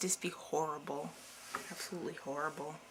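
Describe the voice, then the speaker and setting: A woman mumbles at a moderate pace. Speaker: video blogger. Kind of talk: casual monologue to camera. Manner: mumbling.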